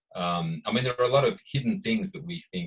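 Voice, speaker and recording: A man with an Australian accent speaks at a medium pitch, somewhat breathy, with very wide pitch swings. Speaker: author and researcher. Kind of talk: panel discussion at book launch. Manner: hesitant, many fillers.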